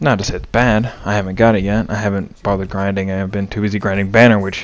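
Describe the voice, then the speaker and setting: A quiet man's voice, fairly low in pitch, monotone and flat, at a very fast pace. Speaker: gaming YouTuber. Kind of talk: casual channel update. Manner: hesitant, with fillers.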